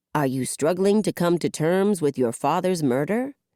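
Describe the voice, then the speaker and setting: Doing a put-on character voice, a woman growls in a fairly low pitch with lively intonation and very even loudness. The recording is very clean, with a silent background. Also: moderate pace, dry, close sound with no echo. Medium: read story. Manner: earnest, scripted.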